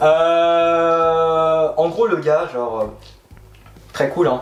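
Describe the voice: This man speaks at a very slow pace with fairly even intonation and a fairly high pitch. Room echo is audible.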